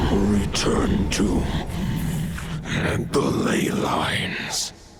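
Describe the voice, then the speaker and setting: Over loud background noise and a clear echo, a man growls in a put-on character voice at a fairly low pitch. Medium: cartoon.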